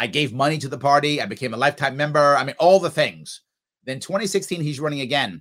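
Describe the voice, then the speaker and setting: With a New York accent, a man talks in an animated tone at a fairly quick pace. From New York City area. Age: 50s. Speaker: political candidate. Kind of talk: interview.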